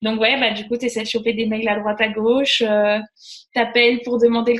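A woman's fairly high voice with fairly even intonation over noticeable background noise. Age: 30s. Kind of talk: casual chat.

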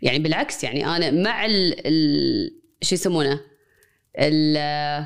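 Speaking very slowly in a Kuwaiti accent, a woman uses a very deep, low pitch, very even loudness, and ordinary pitch variation. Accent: Kuwaiti Arabic with English code-switching. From Kuwait, Palestinian family. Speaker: associate professor of media and cultural studies. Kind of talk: conversational interview.

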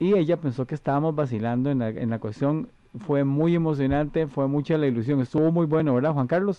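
A man speaks at a fairly quick pace and a fairly high pitch. His pitch variation is ordinary. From Costa Rica. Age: 50s. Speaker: radio host and wedding singer. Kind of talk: casual chat.

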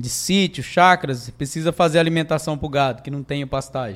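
At a moderate pace, a man with a fairly high pitch talks in an unremarkable speaking voice with fairly even intonation. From Mato Grosso do Sul, Brazil. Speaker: business owner. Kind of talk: casual interview.

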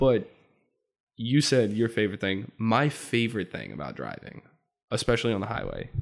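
Here a man talks at a moderate pace and medium pitch. His pitch variation is ordinary. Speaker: podcast guest, friend of the hosts. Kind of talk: casual chat.

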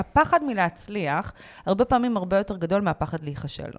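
A woman speaks with lively intonation. The sound is dry and close with no echo, on a very clean recording with a silent background. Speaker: podcast co-host, author. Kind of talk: casual chat.

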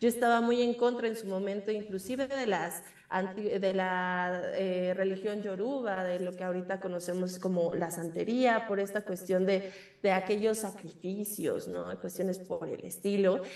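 Noticeable background noise surrounds a woman who speaks fairly slowly at a medium pitch with fairly even intonation. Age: 20s. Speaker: witch and magic practitioner. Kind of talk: interview. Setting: remote call.

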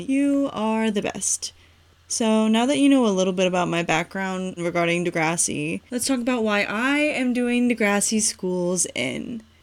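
Someone with an American accent talks at a moderate pace with lively intonation on a very clean recording with a silent background. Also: woman. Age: 20s. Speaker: podcast host. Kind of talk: solo podcast monologue.

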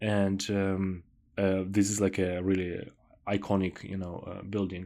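A man speaks with an Eastern European accent at fairly low pitch. His pace is fairly slow and his intonation monotone and flat. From southern Ukraine, Odessa. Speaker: podcast host. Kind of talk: interview podcast.

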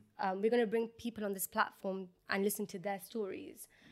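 A woman talks very fast in a London accent. Her pitch is fairly high. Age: 20s. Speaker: podcast co-host. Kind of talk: casual chat.

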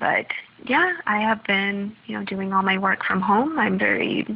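The speaker has an American accent and ordinary pitch variation at a moderate pace. Noticeable background noise is present. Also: woman. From US Midwest, Minnesota. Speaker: PhD student and researcher. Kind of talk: recorded voice update. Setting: at home.

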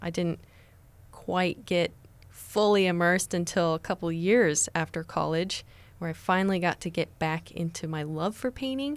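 A woman with an American accent and a plain, everyday voice speaks at a fairly slow pace and a fairly low pitch. Her pitch variation is ordinary, and the recording is very clean with a silent background. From Nebraska, US (Lincoln). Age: young. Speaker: painter. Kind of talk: radio interview. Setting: radio studio.

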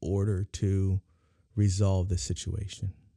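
In an American accent, a man speaks fairly slowly with a fairly low pitch and a dark, mellow tone. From San Diego, California. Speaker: community activist. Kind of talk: casual chat. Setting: studio.

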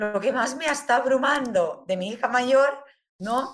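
A woman's high voice with ordinary pitch variation, at a fairly slow pace. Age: 50s. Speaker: humanistic therapist. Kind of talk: interview.

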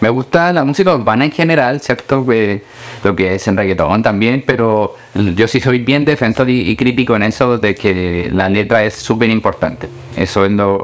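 A man at medium pitch speaks at a moderate pace with lively intonation. His loudness stays very even despite noticeable background noise. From Colombia, then Chile from age 11. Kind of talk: interview.

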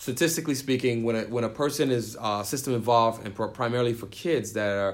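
A man's unremarkable speaking voice at medium pitch with an American accent and ordinary pitch variation. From New York City (the Bronx). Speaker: youth nonprofit founder and DJ. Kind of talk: interview.

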